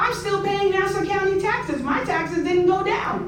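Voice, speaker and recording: A woman speaks with an American accent. Audible room echo surrounds her voice. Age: 60s. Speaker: community resident speaking at public hearing. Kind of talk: public comment testimony. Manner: impassioned.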